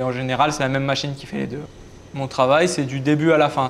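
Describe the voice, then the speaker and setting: The speaker is a man with a fairly high pitch. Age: 20s. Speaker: heating and air-conditioning technician. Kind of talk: interview testimony. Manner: hesitant with fillers.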